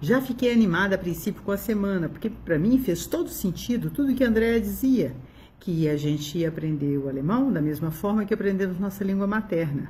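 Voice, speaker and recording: A woman at medium pitch speaks fairly quickly with lively intonation, a dark, mellow tone and a somewhat breathy quality, over light background noise. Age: 60s. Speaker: doctor giving a customer testimonial. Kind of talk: testimonial. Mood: warm, enthusiastic. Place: home room. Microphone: phone near.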